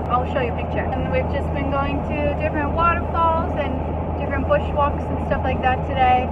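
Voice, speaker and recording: A woman talks over loud background noise. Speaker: travel vlogger. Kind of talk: casual vlog chat. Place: car. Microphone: phone near.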